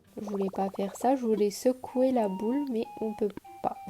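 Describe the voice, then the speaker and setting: A woman talks at a moderate pace and medium pitch with fairly even intonation. Music plays in the background. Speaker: YouTuber. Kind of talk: gameplay commentary. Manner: casual.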